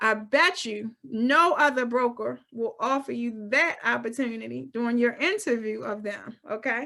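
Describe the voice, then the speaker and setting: A woman speaks loudly in a bright, sharp tone, with ordinary pitch variation and hardly any pauses. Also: fairly high pitch for a woman, moderate pace. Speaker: real estate broker. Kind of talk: webinar presentation. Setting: video call. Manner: clear enunciation.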